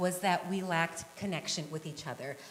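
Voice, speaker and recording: A woman with an American accent is heard with audible room echo. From western Nebraska. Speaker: kindergarten teacher and peace group volunteer. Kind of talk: conference talk. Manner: fast.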